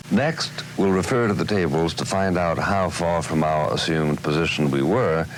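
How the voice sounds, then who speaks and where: A man's very deep, low voice with ordinary pitch variation over noticeable background noise. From United States. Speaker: author and TV commentator. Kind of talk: instructional narration.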